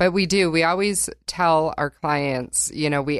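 A woman with an American accent, fairly even intonation and a fairly slow pace, over a quiet background. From northern Michigan. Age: 40s. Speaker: health coach. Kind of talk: interview.

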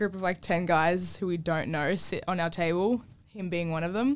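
A woman's medium-pitched voice with an Australian accent. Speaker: girlfriend guest. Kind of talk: casual chat.

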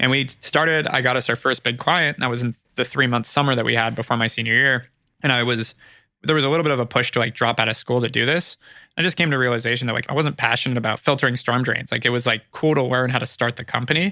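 A man's very fast speech in a Californian accent, medium in pitch with a bright, sharp tone, fairly even intonation and very even loudness, on a very clean recording with a silent background. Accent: Californian American. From California (Ojai). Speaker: marketing agency founder and CEO. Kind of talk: interview, casual business chat.

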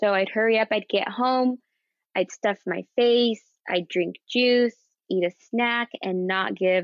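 A woman with a normal speaking voice, a fairly slow pace and ordinary pitch variation. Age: 30s. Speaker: guest with type one diabetes. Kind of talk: casual interview.

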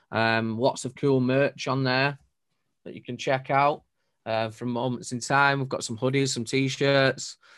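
A man with a Mancunian accent speaks at a moderate pace and a medium pitch. His intonation is monotone and flat against a quiet background. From northern England, Manchester. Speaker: DJ and music producer. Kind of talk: casual chat. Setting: video call from home studio.

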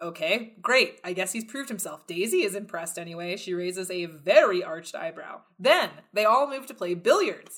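An ordinary speaking voice with an American accent, at a moderate pace with hardly any pauses, ordinary pitch variation, and big swings in loudness. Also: woman, medium pitch for a woman. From Texas. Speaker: podcast host. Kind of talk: casual chat.

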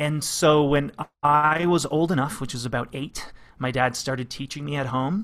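With a Canadian accent and an ordinary speaking voice, a man speaks at a moderate pace in a fairly high pitch with ordinary pitch variation. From Canada, London, Ontario. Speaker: clarinet professor. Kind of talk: casual interview.

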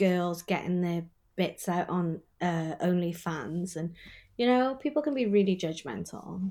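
A woman with a Welsh accent and a dark, mellow tone, at a fairly slow pace, on a very clean recording with a silent background. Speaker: sex worker. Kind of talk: casual chat.

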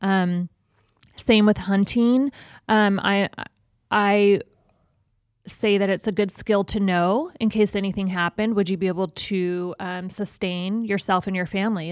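In an American accent, a woman with an unremarkable speaking voice talks at a moderate pace and medium pitch, her fairly even intonation heard in a dry, close sound with no echo. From Las Vegas, US. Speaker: podcast co-host. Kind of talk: casual chat; scripted show intro. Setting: studio.

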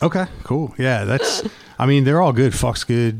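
Over noticeable background noise, a man with an American accent talks at medium pitch with lively intonation. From California, Virginia. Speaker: singer-songwriter. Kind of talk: casual chat. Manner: halting.

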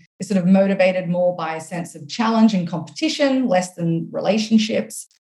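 A woman speaks with an Australian accent. Her pace is moderate. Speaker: author and coach. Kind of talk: casual interview chat.

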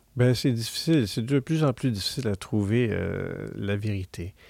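A man speaks at a fairly slow pace and medium pitch with ordinary pitch variation, the sound dry and close with no echo, on a very clean recording with a silent background. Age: 50s. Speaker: university professor and researcher. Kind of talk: interview. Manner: halting, frequent repetitions and fillers.

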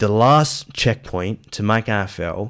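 In an Australian accent, a man speaks at a fairly low pitch with ordinary pitch variation. The recording is very clean, with a silent background. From Western Australia, Perth. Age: 30s. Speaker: former aspiring footballer. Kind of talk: casual chat.

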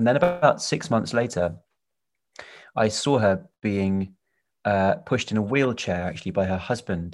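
A man speaks with long, frequent pauses. His pitch is fairly low, and the recording is very clean with a silent background. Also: lively intonation, moderate pace. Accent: British. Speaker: film director and actor. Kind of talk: casual interview chat.

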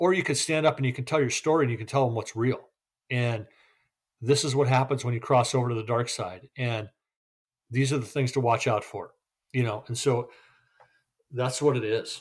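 In a very clean recording with a silent background, a man at medium pitch speaks somewhat breathily at a fairly quick pace with fairly even intonation and long, frequent pauses. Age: 50s. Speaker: recovering gambling addict. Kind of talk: casual interview.

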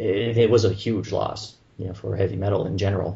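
A man's somewhat breathy voice with a French Canadian accent, at a moderate pace. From Montreal, Canada. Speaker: radio show host, metal music fan.

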